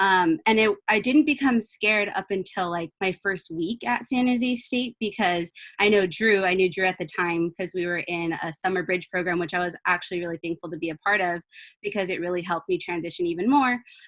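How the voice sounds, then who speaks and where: This woman has an ordinary speaking voice, medium in pitch with ordinary variation and an American accent. She talks at a fairly quick pace, the sound dry and close with no echo. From California, Ventura County. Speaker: university student. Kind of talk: panel webinar talk.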